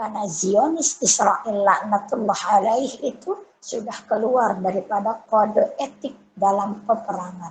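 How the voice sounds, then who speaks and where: Somewhat breathy and fairly high in pitch, a woman speaks at a fairly slow pace with ordinary pitch variation. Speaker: female Islamic religious teacher. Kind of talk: religious lecture.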